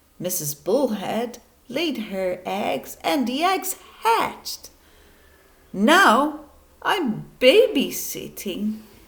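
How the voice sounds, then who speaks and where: A woman puts on a character voice at a fairly high pitch. She goes very slowly, with long, frequent pauses. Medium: read story.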